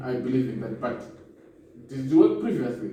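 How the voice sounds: A man's dark, mellow tone in a room with strong echo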